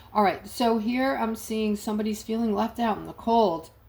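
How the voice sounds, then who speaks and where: A woman speaks fairly slowly at a fairly high pitch. Her voice is somewhat breathy. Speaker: tarot reader. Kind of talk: tarot reading monologue. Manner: hesitant, filler words.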